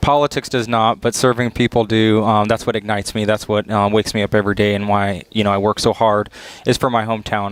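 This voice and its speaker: Speaking very fast with an American accent, a man uses a fairly low pitch and monotone, flat intonation. His loudness stays very even, and the sound is dry and close with no echo. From US South, Flagler County, Florida. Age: 20s. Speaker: political candidate. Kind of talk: interview.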